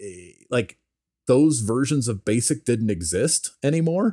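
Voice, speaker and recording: An ordinary speaking voice from a man, medium in pitch and fairly slow, in a dry, close sound with no echo and a very clean recording over a silent background. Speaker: software developer. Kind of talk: casual chat.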